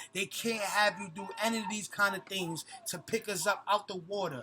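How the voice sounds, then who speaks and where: Music plays behind a man who speaks in a raised, projected voice with a high pitch. His tone is animated, and his pitch varies in an ordinary way. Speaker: conscious community vlogger. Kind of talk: vlog monologue. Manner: fast.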